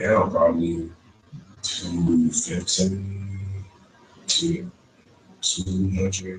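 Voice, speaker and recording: A man speaks at a very slow pace with long, frequent pauses. Noticeable background noise runs behind him. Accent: American. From East Texas (Shelby County) and Houston. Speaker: interviewee. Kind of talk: interview.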